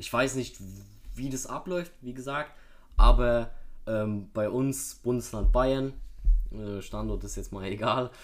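A man speaks very slowly, with long, frequent pauses. His pitch varies in an ordinary way. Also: medium pitch for a man, big swings in loudness. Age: young. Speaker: podcast guest. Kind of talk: casual chat.

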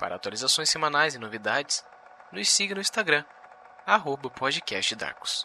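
Lively intonation from a man with a fairly high pitch, long, frequent pauses and noticeable background noise. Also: moderate pace. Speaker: podcast announcer. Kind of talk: scripted intro announcement.

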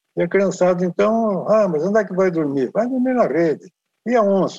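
The man has a high pitch with ordinary variation. His pace is moderate. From Brazil, farm country. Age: 80s+. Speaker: long-distance horseback rider. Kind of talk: casual interview chat.

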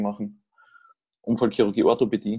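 This man's fairly low voice has a dark, mellow tone and flat, monotone intonation. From Austria. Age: 30s. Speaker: orthopedic surgeon. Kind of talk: casual interview.

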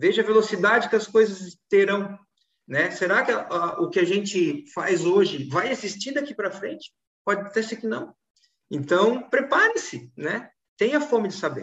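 A man speaks at high pitch with lively intonation. His pace is moderate. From Florianópolis, southern Brazil. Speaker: law firm management consultant. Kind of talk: casual chat.

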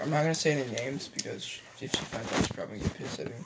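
Fairly high-pitched male voice, a bit breathy, its pitch varying in an ordinary way. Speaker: podcast co-host. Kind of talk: casual chat. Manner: halting.

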